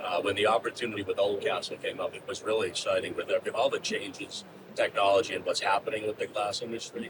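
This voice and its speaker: Noticeable background noise sits behind a man who speaks at a very fast pace. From US Northeast, Boston. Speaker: business executive. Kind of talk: podcast interview. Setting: studio enclosure on trade show floor.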